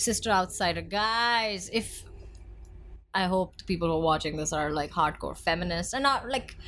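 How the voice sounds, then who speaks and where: Her intonation is lively and her tone bright and sharp. The woman speaks with an Indian accent. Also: medium pitch for a woman, moderate pace. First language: Hindi. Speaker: podcast co-host. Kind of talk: casual chat. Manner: animated.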